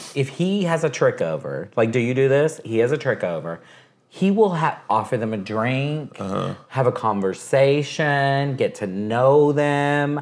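At a fairly slow pace, a man with an American accent and an unremarkable speaking voice uses a fairly high pitch with lively intonation. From Texas. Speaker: radio host. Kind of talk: casual chat. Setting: at his home.

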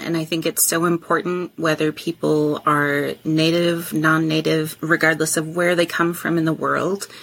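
Against noticeable background noise, a woman with an American accent and a fairly low pitch speaks at a moderate pace in a monotone, flat way. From Wisconsin. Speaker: farm manager. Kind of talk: interview.

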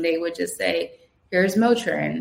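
A woman with a New Jersey accent, fairly low in pitch, at a moderate pace. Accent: New Jersey American. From New Jersey, Trenton. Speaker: Navy veteran. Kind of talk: interview.

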